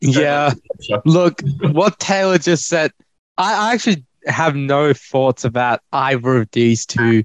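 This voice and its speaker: A man with an Australian accent speaks at a fairly high pitch and a fairly slow pace with ordinary pitch variation, recorded dry and close with no echo against a quiet background. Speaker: fantasy football co-host. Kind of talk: casual banter.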